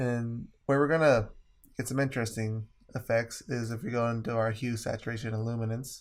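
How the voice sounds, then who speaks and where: Here a man talks at a fairly quick pace. His intonation stays monotone and flat. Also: medium pitch for a man, very clean recording, silent background. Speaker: photographer. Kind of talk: software tutorial narration.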